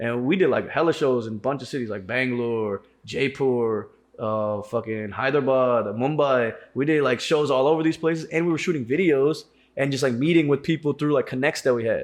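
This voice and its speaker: Talking at a fairly quick pace over a quiet background, a man has an ordinary speaking voice at a medium pitch with ordinary pitch variation. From South Indian family, raised in US. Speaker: podcast host and rapper. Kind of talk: casual chat. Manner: casual slangy, many fillers.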